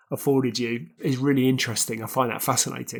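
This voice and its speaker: The speaker talks at a fairly quick pace with a British accent and fairly even intonation. The recording is very clean, with a silent background. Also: man. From UK. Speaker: podcast host. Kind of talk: interview. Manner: formal.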